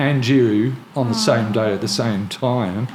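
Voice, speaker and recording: A man speaks with noticeable noise in the background. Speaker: podcast host. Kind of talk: podcast conversation.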